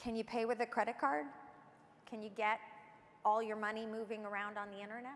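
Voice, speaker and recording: A woman talks at a fairly quick pace. Her voice is fairly high in pitch. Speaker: government official. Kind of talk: keynote speech. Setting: stage with audience. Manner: enthusiastic. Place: stage. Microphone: lapel.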